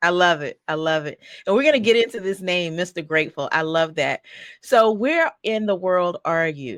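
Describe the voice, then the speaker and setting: With a Southern US accent, a woman speaks at a moderate pace in a fairly low pitch, her animated tone and lively intonation captured in a very clean recording with a silent background and a dry, close sound with no echo. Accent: Southern country. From North Carolina. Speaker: podcast host. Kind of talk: interview.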